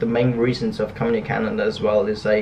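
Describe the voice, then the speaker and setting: A man with a non-native accent speaks at a medium pitch with fairly even intonation. Background noise is noticeable. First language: not English. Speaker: graphic designer and startup founder vlogger. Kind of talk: casual vlog, personal story. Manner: fast; mumbling, skips syllables.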